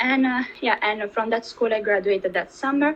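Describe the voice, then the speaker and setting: A woman with an Italian accent speaks with ordinary pitch variation. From Italy. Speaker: dancer. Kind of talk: interview.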